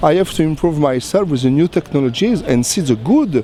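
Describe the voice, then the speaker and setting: A man speaks with a French accent at a fairly high pitch and a fairly quick pace. His intonation is lively, and there is noticeable background noise. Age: 40s. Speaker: cinematographer. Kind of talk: interview. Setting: trade show pavilion. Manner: halting.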